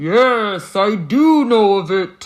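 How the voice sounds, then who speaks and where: This is a put-on character voice. It sits fairly high in pitch. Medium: read story. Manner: booming.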